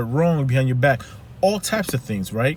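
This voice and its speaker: A man with a Haitian accent speaks in a somewhat breathy voice. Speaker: life coach. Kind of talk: motivational talk. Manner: animated.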